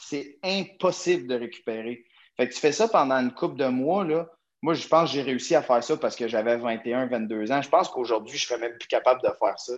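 Against a quiet background, a man talks at a medium pitch with lively intonation. He has an ordinary speaking voice. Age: 20s. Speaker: CrossFit athlete and gym owner. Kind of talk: casual interview.

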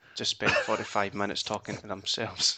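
A man with a Scottish accent at a fairly quick pace. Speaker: podcast host. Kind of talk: casual chat. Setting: recording at home late at night. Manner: muted, keeping voice down.

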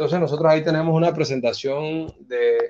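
A man speaks at a moderate pace with a Panamanian accent. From Panama, Chiriquí (David). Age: 30s. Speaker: entrepreneur and banker. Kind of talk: interview conversation. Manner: halting, many fillers and repetitions.

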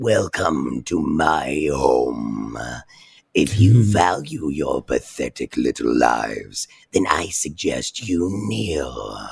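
In a put-on character voice, a woman speaks very slowly, raspy and with a very deep, low pitch. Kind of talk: tabletop game master villain voice, demo-reel acting. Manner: calm, psychologically cruel; menacing, taunting, contemptuous.

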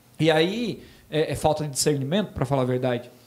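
With lively intonation and a fairly high pitch, a man speaks in an unremarkable speaking voice. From Santa Catarina, Brazil (Botuverá). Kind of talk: casual chat.

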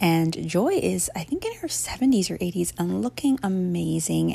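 At a moderate pace, a woman speaks. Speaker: podcast host. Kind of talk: podcast intro and outro promo.

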